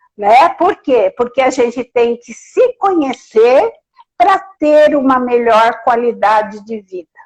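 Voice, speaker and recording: A woman with a high pitch and lively intonation speaks at a very slow pace with big swings in loudness, in a dry, close sound with no echo. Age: 70s. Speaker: therapy client. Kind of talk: testimony. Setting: Instagram live.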